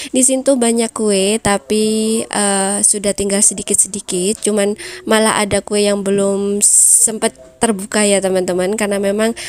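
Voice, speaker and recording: A woman's voice with a dry, close sound and no echo, over noticeable background noise. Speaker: housewife vlogger. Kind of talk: vlog voiceover tutorial. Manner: casual, chatty.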